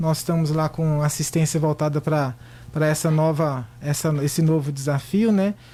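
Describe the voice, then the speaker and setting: In a Minas Gerais accent, a man talks at a moderate pace. His voice is fairly high-pitched, with a dark, mellow tone. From Minas Gerais, Brazil. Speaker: physician. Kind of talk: radio interview. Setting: radio studio.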